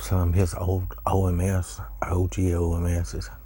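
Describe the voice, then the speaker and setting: A soft-spoken man with a very deep, low pitch. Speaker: pipe smoking YouTuber. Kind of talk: casual chat.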